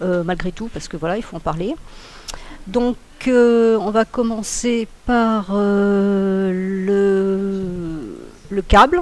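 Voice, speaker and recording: At a very slow pace, a woman speaks with medium pitch, ordinary pitch variation and big swings in loudness. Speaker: trading analyst. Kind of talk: webinar tutorial. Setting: online webinar. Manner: hesitant, many filler sounds.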